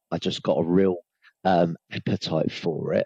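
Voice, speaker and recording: A man talks in a southern English accent. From Hertfordshire, England. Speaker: sales trainer. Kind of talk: podcast interview.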